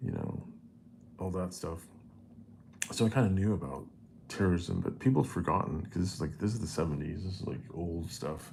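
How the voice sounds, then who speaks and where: A man with a very deep, low pitch and vocal fry speaks with an American accent and lively intonation. His pace is fairly quick, broken by long, frequent pauses, and the room echo is audible. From United States. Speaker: vlogger. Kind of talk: personal storytelling monologue. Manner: halting, many fillers and restarts; casual.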